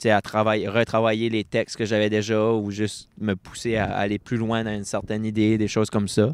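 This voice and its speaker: A man with an Acadian accent talks at a fairly quick pace and fairly low pitch, with monotone, flat intonation, in a dry, close sound with no echo. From Acadia, New Brunswick (Bathurst). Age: 20s. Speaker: poet. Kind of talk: interview. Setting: book fair stage with audience. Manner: casual, halting with fillers.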